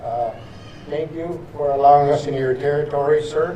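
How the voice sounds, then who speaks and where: A man talks at a moderate pace, with noticeable background noise and audible room echo. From northern Saskatchewan, Canada. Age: 80s+. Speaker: residential school survivor and veteran. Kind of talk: ceremonial speech. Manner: halting, repetitive.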